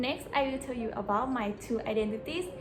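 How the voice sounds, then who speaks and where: A woman speaks with a Thai accent. Noticeable background noise and audible room echo surround her voice. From Thailand (Bangkok, later Pattani). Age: 20s. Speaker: university student vlogger. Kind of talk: scripted presentation vlog.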